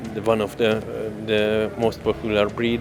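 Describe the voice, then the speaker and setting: Music plays in the background as a man with a fairly low pitch speaks in a monotone, flat intonation. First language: not English (speaking French). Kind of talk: interview. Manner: halting, many fillers.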